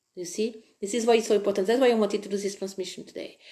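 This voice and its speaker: In a French accent, a woman speaks with a dark, mellow tone and fairly even intonation. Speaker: spiritual online presenter. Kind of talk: live-streamed spiritual talk.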